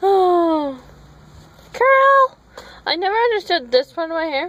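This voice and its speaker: A woman mumbles with very wide pitch swings. Noticeable background noise sits behind her. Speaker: vlogger. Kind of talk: casual vlog chat.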